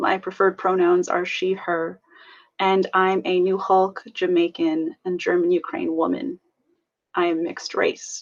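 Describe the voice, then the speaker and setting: A woman uses a normal speaking voice at a medium pitch, with ordinary pitch variation and a fairly slow pace. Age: 20s. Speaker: student. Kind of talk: prepared personal testimony.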